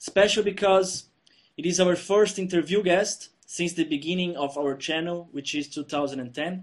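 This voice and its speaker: A Brazilian Portuguese accent at a moderate pace, with ordinary pitch variation. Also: man, high pitch for a man. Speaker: channel host, interviewer. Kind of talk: interview.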